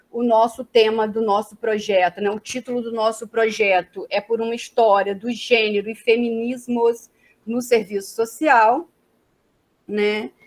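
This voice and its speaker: A woman with a fairly high voice speaks at a fairly slow pace. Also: fairly even intonation. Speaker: social work professor. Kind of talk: academic lecture. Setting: video call.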